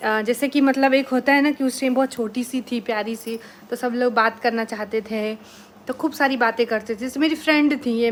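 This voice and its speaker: A woman's plain, everyday voice, fairly high, at a moderate pace with fairly even intonation. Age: 20s. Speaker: village vlogger, housewife. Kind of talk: casual vlog talk to camera. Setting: at home at night.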